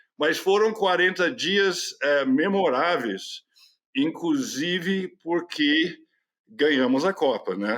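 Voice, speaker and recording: Speaking at a very slow pace, a man uses a high pitch and lively intonation while keeping his loudness very even. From California, United States. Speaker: journalist. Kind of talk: interview answer.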